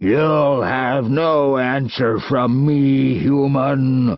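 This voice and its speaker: Using a put-on character voice, a man speaks very slowly in a raspy tone at a medium pitch. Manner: defiant, disgusted.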